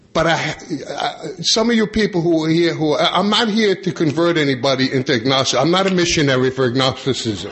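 Speaking with an American accent, a man talks fairly quickly at a fairly high pitch with hardly any pauses. His loudness stays very even over noticeable background noise. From New York, Long Island. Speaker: AA convention speaker. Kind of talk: conference talk to audience.

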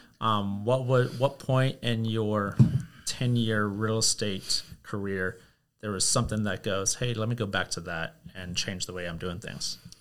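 In a very clean recording with a silent background, a man talks at a fairly slow pace in a normal speaking voice, with fairly low pitch and fairly even intonation. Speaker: podcast host. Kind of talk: casual interview.

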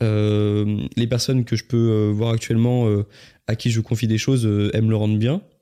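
A moderate pace, dark, mellow tone, monotone, flat intonation and very even loudness on a very clean recording with a silent background. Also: man, medium pitch for a man. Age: 20s. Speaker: YouTuber and podcaster. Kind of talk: casual chat.

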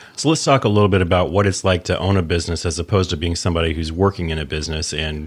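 Very fast in pace, a man speaks in a very deep, low pitch with fairly even intonation. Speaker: podcast host. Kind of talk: interview.

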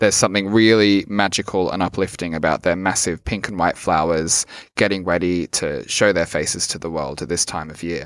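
Very deep and low, a man's voice with an Australian accent moves at a fairly quick pace with hardly any pauses and fairly even intonation, in a very clean recording with a silent background. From rural Australia. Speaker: podcast host. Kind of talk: scripted narration; guided meditation.

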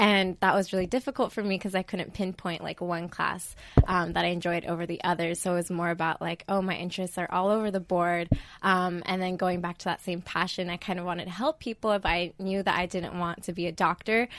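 Here a woman talks in a normal speaking voice with a General American accent. Her pitch is fairly low, her pace fairly quick and her intonation fairly even. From Idaho. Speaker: biomedical engineering student. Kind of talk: interview.

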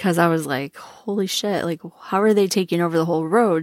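A very clean recording with a silent background, dry and close with no echo, an American accent and ordinary pitch variation. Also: woman. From Minnesota. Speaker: podcast host. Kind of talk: personal storytelling monologue. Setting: recording alone in a closet. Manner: casual, laughing often.

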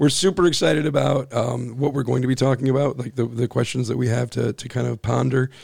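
The pace is fairly quick, with fairly even intonation. The tone is slightly mellow and shows vocal fry. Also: man, medium pitch for a man.

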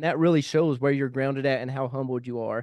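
A man speaks with a Kentucky accent. The background is quiet. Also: dry, close sound with no echo. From Kentucky (small town). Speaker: podcast host, military veteran. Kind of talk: casual interview. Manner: animated.

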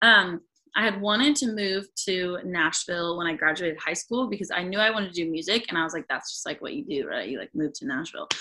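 A woman speaks in an American accent at medium pitch. Her tone is bright and sharp, with lively intonation. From US Pacific Northwest, rural northwestern Washington. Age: 20s. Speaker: singer-songwriter. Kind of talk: casual interview. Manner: halting, many fillers.

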